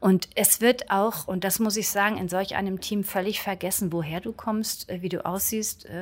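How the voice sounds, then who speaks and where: A woman speaks in a plain, everyday voice at a medium pitch. Her intonation is fairly even and her pace moderate. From northern Germany, Schleswig-Holstein coast. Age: 50s. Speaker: local politician, former dancer. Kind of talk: interview.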